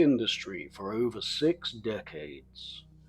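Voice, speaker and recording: A man with a British accent speaks against a quiet background. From England. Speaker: English teacher. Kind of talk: educational biography narration. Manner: clear, measured.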